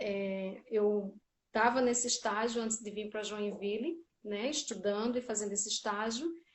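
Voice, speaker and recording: A woman with a Paraíba accent speaks at a fairly high pitch. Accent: northeastern Brazilian (Paraíba). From Brazil, Paraíba (Campina Grande). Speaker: social worker in public service. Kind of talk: interview.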